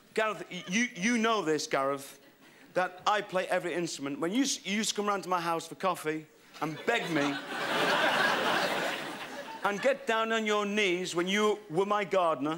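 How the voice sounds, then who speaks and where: Loud background noise surrounds a man who speaks at a moderate pace with ordinary pitch variation and long, frequent pauses. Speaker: comedian performer. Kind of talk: stand-up comedy banter. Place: stage. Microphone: handheld.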